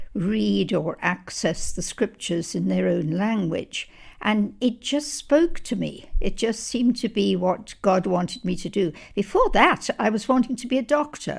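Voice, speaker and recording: A woman speaks at a medium pitch with vocal fry. Her intonation is lively. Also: fairly slow pace. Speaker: Bible translation consultant. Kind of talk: interview answer.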